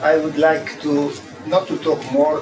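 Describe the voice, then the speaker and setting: Speaking at a fairly slow pace, a man with an Italian accent has a fairly high pitch, heard over noticeable background noise with audible room echo. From Italy. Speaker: design professor. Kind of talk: keynote lecture. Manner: halting, many fillers.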